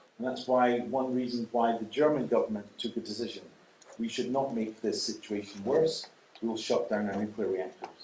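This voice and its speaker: The intonation is fairly even. There is audible room echo. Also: man, medium pitch for a man, moderate pace. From Scotland. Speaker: nuclear energy expert. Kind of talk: lecture. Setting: lecture hall with audience. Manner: pausing for consecutive interpretation.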